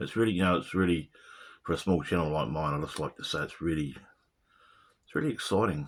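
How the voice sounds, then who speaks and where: Recorded very cleanly against a silent background, a man with a New Zealand accent talks at a very fast pace with vocal fry and ordinary pitch variation. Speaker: video blogger. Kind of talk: casual monologue. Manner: halting.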